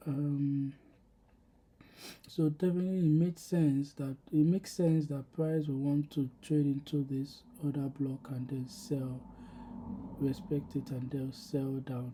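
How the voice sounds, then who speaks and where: Soft-spoken and at a fairly slow pace, the speaker leaves long, frequent pauses. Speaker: trading video creator. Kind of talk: screen-share trade recap. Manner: soft, low volume; halting, many fillers.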